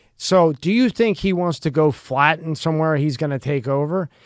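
A man's fairly high, lively voice at a moderate pace, a plain, everyday voice, on a very clean recording with a silent background. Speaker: podcast interviewer. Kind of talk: casual chat. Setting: studio.

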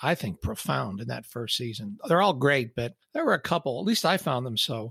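A man speaks at a fairly quick pace with vocal fry and very wide pitch swings. The recording is very clean with a silent background, dry and close with no echo. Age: 60s. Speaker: podcast host. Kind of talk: solo podcast monologue.

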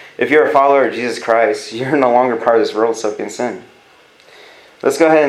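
Amid noticeable background noise and audible room echo, a man with an American accent talks at a very fast pace. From California. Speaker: youth pastor. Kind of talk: sermon. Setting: church. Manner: animated.

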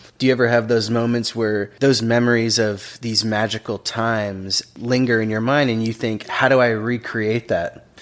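Over noticeable background noise, a man talks at a moderate pace and medium pitch in a monotone, flat delivery with hardly any pauses. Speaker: podcast host. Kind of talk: casual interview.

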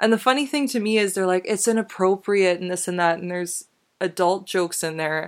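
With a plain, everyday voice, a woman speaks at a fairly quick pace and medium pitch with ordinary pitch variation on a very clean recording with a silent background. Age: 20s. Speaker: podcast host. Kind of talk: solo commentary monologue. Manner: casual, conversational with laughs.

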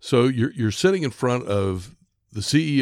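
A man talks with ordinary pitch variation. The recording is very clean, with a silent background. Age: 60s. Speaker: podcast host. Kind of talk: podcast discussion. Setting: studio.

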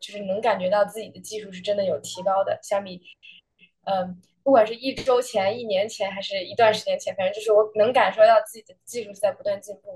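At a very fast pace, a woman with a fairly high pitch talks in a somewhat breathy way, her intonation fairly even but her loudness swinging widely. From Beijing, China. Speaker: college tennis player. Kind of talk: interview. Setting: hotel room, remote.

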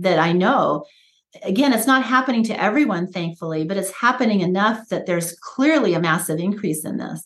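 This is an ordinary speaking voice. Its intonation is lively. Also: woman. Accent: American. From United States. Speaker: pediatrician. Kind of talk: interview. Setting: podcast interview.

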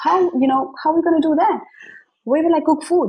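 Somewhat breathy female voice, its tone dark and mellow. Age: 30s. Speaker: marketing coach and author. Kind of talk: interview. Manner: conversational with frequent fillers.

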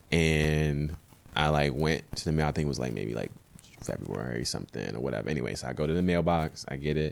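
Speaking at a fairly quick pace, a man with an American accent has a very deep, low pitch and ordinary pitch variation. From Baltimore, Maryland. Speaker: ballet dancer. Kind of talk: casual chat. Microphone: mic too far at start.

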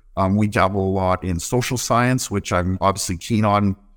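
Here a man with a Canadian accent uses a normal speaking voice, fairly low in pitch, moving at a fairly quick pace with ordinary pitch variation. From Manitoba, Canada. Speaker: wildfire service officer. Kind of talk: interview. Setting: remote call.

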